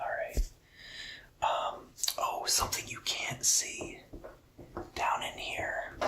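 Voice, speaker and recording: Very slow whispering with long, frequent pauses over noticeable background noise. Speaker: ASMR content creator. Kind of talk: ASMR show-and-tell talk to camera. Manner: whispered.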